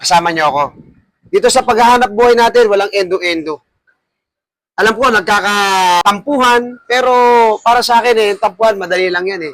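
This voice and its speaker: A man talks fairly fast, his high voice showing ordinary pitch variation. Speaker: barbershop owner and barber mentor. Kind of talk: farewell speech to staff. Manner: loud voice.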